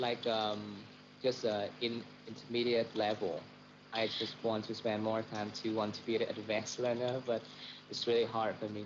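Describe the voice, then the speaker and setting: Over noticeable background noise, a man speaks in a flat, monotone intonation. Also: medium pitch for a man, moderate pace. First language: Vietnamese. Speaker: doctor. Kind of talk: casual chat. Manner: halting, many fillers.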